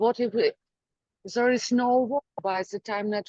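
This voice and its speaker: A woman speaks with a strong Ukrainian accent at a very slow pace, her intonation fairly even. The sound is dry and close, with no echo. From Ukraine. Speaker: poet. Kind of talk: poetry reading.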